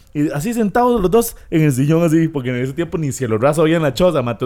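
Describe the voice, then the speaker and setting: A man's fairly high voice, very fast and with lively intonation, hardly any pauses. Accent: Costa Rican. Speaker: podcast co-host. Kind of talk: casual chat.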